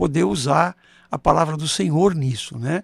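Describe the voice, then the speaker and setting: A man's fairly high voice with vocal fry and very wide pitch swings, at a moderate pace, in a very clean, dry, close recording with no echo and a silent background. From Brazil, São Paulo. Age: 70s. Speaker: pastor and surgeon. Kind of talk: podcast interview.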